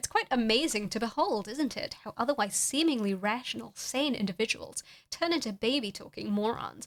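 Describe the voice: The text is read aloud plainly. It is simple, plain reading.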